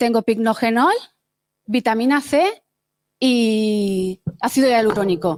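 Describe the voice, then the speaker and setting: Taking long, frequent pauses, a woman speaks at a very slow pace with lively intonation. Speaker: hackathon participant presenting a project. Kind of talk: project demo pitch. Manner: hesitant, with many fillers.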